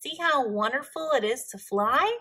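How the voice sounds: A woman puts on a character voice at a fairly slow pace, high-pitched with lively intonation and a bright, sharp tone that carries a slightly husky edge.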